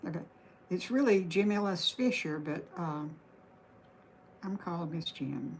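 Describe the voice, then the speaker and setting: A woman with a Southern US accent speaks at a moderate pace, her fairly low voice somewhat breathy and her intonation lively. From Alabama. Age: 70s. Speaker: craft livestreamer. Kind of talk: live stream painting tutorial chat. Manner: casual, halting.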